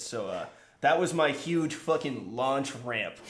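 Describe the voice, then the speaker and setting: In a room with audible echo, a man talks with an American accent. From San Francisco Bay Area, US. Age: 20s. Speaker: pro skater and photographer. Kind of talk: casual chat.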